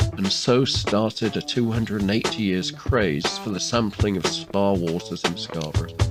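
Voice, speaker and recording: Music plays in the background as a man speaks at a moderate pace. His fairly low voice carries lively intonation. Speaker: small business campaigner and tour guide. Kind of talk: tour-guide voice-over for a promotional film. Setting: outdoors, on location. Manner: upbeat, enthusiastic, humorous.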